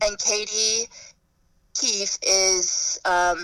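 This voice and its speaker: A woman talks in a bright, sharp tone. Her intonation stays fairly even. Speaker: chef. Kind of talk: casual interview. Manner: halting.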